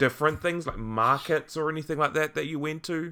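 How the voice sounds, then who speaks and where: A man speaks with a New Zealand accent. His tone is bright and sharp. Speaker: podcast host. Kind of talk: casual interview. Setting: online call.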